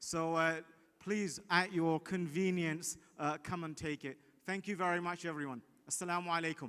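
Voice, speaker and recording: A loud, bright, sharp voice at a moderate pace with fairly even intonation, on a very clean recording with a silent background. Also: man. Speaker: legal division head. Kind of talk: prize announcement speech. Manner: hesitant, many fillers.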